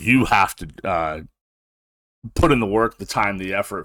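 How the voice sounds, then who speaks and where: The bright, sharp voice moves at a fairly slow pace in a dry, close sound with no echo, on a very clean recording with a silent background. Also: man. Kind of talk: casual monologue podcast. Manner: casual, many filler words.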